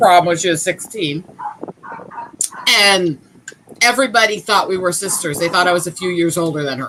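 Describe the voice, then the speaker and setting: Amid noticeable background noise, a woman with a fairly low pitch talks at a moderate pace, with long, frequent pauses. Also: ordinary pitch variation. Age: 30s. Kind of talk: casual chat. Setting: live stream.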